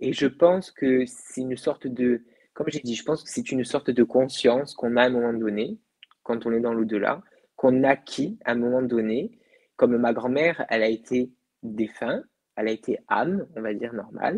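Against a quiet background, a man speaks at a moderate pace with ordinary pitch variation. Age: 20s. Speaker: medium; guest. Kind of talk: interview about the afterlife. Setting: live video broadcast. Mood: calm, reflective. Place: home room. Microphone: earbuds.

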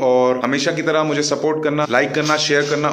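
The man's intonation stays fairly even at a moderate pace. Some light noise can be heard in the background. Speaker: gym equipment seller. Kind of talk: casual vlog chat. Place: gym. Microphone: phone near.

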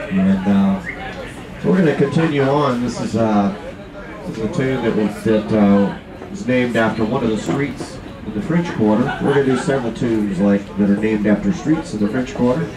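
A man's voice at a moderate pace, with noticeable background noise. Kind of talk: stage banter. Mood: relaxed, friendly. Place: boat.

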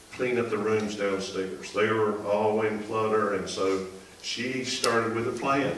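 Fairly even intonation and a fairly slow pace come through audible room echo and light background noise. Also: man. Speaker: associate pastor. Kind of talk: sermon. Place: church.

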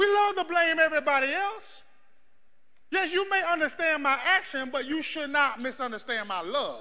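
A man is shouting in a raised, projected voice with an animated tone. His intonation is lively, and the pace is moderate. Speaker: preacher. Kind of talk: sermon with live congregation call-and-response. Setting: church. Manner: loud, animated, exhorting the crowd to shout back; fervent, rhythmic, building in intensity. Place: church.

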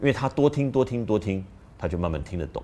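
The pace is fairly quick. Pitch swings are very wide. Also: man. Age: middle-aged. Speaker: parenting video host. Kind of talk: casual talk to camera. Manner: hesitant with fillers. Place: studio.

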